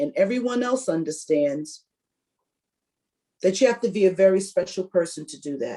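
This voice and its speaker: Speaking at a moderate pace, this voice has a dark, mellow tone and very wide pitch swings. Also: woman. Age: 60s. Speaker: workshop presenter on caregiving. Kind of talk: presentation.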